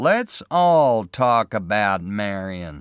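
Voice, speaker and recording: A man's put-on character voice with very wide pitch swings. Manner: unfriendly, cold.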